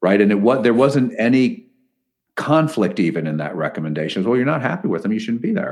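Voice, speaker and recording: A man talks with an American accent and very wide pitch swings. The background is quiet. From Connecticut. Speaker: podcast host, ministry president. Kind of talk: interview.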